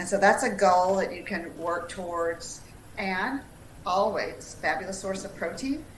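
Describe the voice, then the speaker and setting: A woman with an American accent speaks at a fairly slow pace. Audible room echo and noticeable background noise surround her. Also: medium pitch for a woman, ordinary pitch variation. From US South, Tennessee. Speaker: dietitian. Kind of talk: live webinar Q&A, informative chat.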